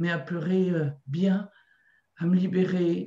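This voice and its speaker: Against a quiet background with audible room echo, a woman speaks very slowly at medium pitch in a dark, mellow, somewhat breathy tone. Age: 60s. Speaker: qigong practitioner. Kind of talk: testimony. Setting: video call. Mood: emotional, moved. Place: home room. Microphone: video call.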